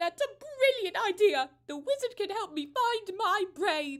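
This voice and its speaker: In a put-on character voice, a woman speaks at an extremely high pitch and a fairly slow pace. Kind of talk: live script read.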